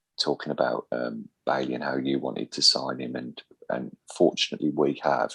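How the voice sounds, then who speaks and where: A man with a Birmingham accent, very deep and low in pitch, with vocal fry and fairly even intonation, at a moderate pace in a dry, close sound with no echo. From Birmingham, England. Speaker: football podcast host. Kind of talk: casual podcast chat.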